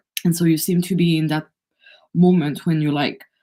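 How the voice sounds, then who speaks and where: A woman speaks with a French accent in a very deep, low pitch. Her tone is dark and mellow, and her intonation stays fairly even. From France. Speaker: energy healer. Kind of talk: live oracle card reading. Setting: livestream.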